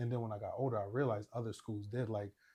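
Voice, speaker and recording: Somewhat breathy and medium in pitch, this man talks with an American accent. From Syracuse, New York (South Side). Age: 30s. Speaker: financial advisor and entrepreneur. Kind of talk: podcast interview. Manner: casual, conversational.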